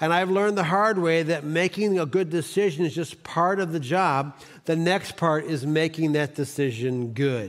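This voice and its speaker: With an American accent and a plain, everyday voice, a man talks at a moderate pace and fairly high pitch, showing ordinary pitch variation, hardly any pauses and very even loudness. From Cleveland, Ohio, US. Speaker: pastor. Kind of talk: sermon. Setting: church.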